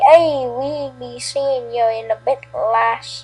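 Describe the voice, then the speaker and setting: A woman puts on a high-pitched character voice and talks at a very slow pace. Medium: read story.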